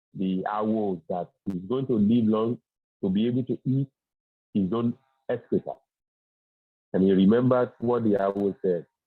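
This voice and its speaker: A man with a Yoruba accent at a fairly low pitch, moderate pace and ordinary pitch variation, with long, frequent pauses. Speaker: Ifa religious teacher. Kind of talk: religious teaching. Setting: video call on phone, outdoors. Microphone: phone with weak reception.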